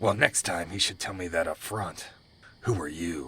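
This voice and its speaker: Putting on a growling character voice, a man speaks at a very deep, low pitch and a moderate pace, with a menacing tone and ordinary pitch variation. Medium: audio drama. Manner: gruff, menacing, contemptuous.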